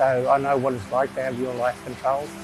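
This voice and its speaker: Music plays in the background as a man talks at a fairly quick pace with a fairly high pitch. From Australia, Macleay Valley region, New South Wales. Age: 60s. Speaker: traditional owner, cultural preservationist. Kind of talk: interview answer. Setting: outdoors.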